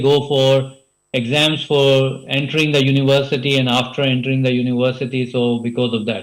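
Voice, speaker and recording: The man's pitch sits in the medium range while he talks fairly quickly. His delivery is flat and monotone. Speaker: conference speaker, healthcare researcher. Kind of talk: conference presentation. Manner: fast; hesitant, many fillers.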